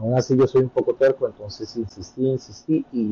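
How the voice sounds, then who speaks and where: With a dry, close sound and no echo, a man uses a normal speaking voice at medium pitch and a moderate pace. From Colombia, Bogotá. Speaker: immigrant content creator. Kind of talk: interview.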